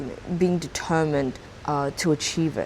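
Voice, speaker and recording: In an Australian accent, a woman with a very deep, low pitch speaks at a moderate pace with ordinary pitch variation. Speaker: YouTuber. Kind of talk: vlog monologue. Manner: casual, filler-heavy.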